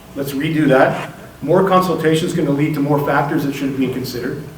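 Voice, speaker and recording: Speaking at a very fast pace, a man with a fairly high pitch and ordinary pitch variation is heard amid noticeable background noise and audible room echo. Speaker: community organizer. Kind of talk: public speech. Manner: determined.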